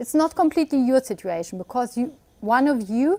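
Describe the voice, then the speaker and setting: With a non-native accent, a woman speaks at a moderate pace in a high pitch, her dark, mellow tone and lively intonation caught in a dry, close sound with no echo. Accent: non-native English speaker. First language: German. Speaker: webinar presenter, immigration law advisor. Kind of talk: webinar presentation. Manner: hesitant, with fillers.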